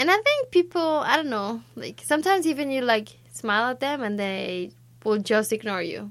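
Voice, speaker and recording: A woman speaks in a Spanish accent at a high pitch. Her pace is moderate, with very wide pitch swings. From Mexico. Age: 20s. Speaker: student. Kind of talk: casual chat.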